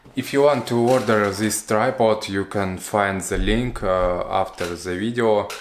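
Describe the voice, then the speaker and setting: A man with a fairly low pitch at a fairly slow pace, with fairly even intonation and noticeable background noise. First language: not English. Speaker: product reviewer. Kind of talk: product review. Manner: halting, many fillers.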